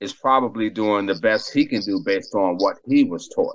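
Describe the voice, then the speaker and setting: A man speaks at a fairly slow pace in an unremarkable speaking voice. His pitch varies in an ordinary way, with an American accent. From Boston, Massachusetts. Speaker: recovering addict and skater. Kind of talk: testimony.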